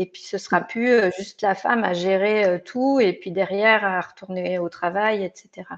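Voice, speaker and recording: In a normal speaking voice, a woman talks at a fairly slow pace and medium pitch with fairly even intonation, hardly any pauses, and big swings in loudness. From France, Hautes-Alpes. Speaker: tech recruiter. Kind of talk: interview.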